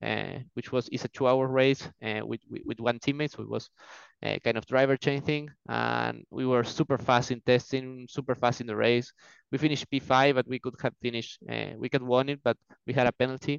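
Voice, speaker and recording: A man at medium pitch, fairly quick in pace, with monotone, flat intonation and an Argentine accent. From Argentina. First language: Spanish. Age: 20s. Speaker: racing driver. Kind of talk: casual interview. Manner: fluent but hesitant, filler words.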